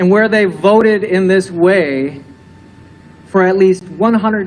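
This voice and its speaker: Amid noticeable background noise, a man with an American accent speaks at a high pitch and a fairly slow pace. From Michigan, Grand Rapids. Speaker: minister. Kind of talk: sermon.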